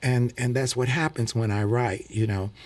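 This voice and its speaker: Here a man with an American accent has an unremarkable speaking voice at a medium pitch and a fairly even intonation. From US Midwest (St. Louis). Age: 60s. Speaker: singer and preacher. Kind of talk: radio interview. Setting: radio studio.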